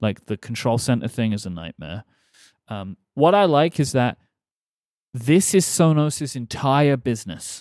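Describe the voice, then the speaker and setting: A man with an English accent at a fairly slow pace, with very wide pitch swings, on a very clean recording with a silent background and a dry, close sound with no echo. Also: medium pitch for a man. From England. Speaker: podcast host. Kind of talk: casual chat.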